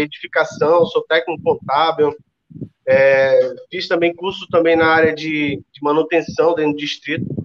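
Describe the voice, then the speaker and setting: In an ordinary speaking voice, a man talks at a fairly slow pace with a fairly high pitch. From Ceará, Brazil. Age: 30s. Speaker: network marketing entrepreneur. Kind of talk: interview.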